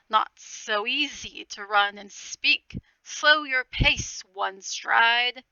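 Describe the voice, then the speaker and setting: A woman puts on a character voice, talking very slowly at a high pitch. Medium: read story. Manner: formal, measured, courteous.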